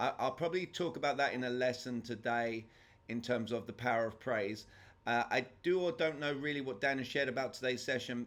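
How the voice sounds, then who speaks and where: A man with a strong English accent, medium pitch and a fairly quick pace. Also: ordinary pitch variation. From England. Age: 40s. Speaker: sales trainer. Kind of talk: lecture. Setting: video call.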